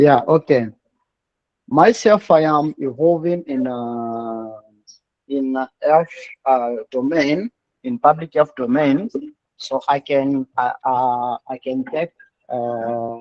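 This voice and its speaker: A man's fairly high voice with a Congolese accent, at a very slow pace with long, frequent pauses and ordinary pitch variation. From DR Congo (Kinshasa). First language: French. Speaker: public health worker, student. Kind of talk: class discussion. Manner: halting.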